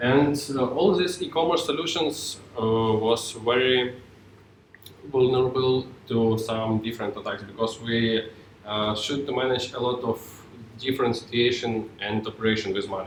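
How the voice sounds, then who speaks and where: A man's medium-pitched voice at a moderate pace, with ordinary pitch variation, audible room echo and noticeable background noise. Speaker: software tech lead, conference speaker. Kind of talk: tech talk. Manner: halting.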